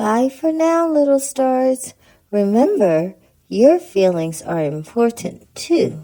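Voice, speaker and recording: A female-sounding cartoonish character voice, pitched high, moves at a fairly slow pace with very wide pitch swings. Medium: puppet. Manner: soft-spoken, gentle.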